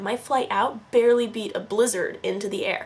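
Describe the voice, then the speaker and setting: An animated woman with an American accent talks in a fairly high pitch over noticeable background noise. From Northern California. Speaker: vlogger. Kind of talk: casual vlog narration.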